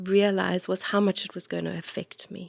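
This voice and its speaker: A woman with a South African accent speaks at a moderate pace and medium pitch. The recording is very clean, with a silent background and a dry, close sound with no echo. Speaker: priest and podcast host. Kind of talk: casual chat. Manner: halting.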